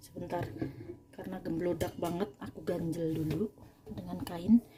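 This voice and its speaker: The delivery is animated, at a moderate pace with ordinary pitch variation. Noticeable background noise runs underneath. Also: woman. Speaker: home cooking and cleaning vlogger. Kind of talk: casual tutorial while cleaning. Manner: animated, chatty.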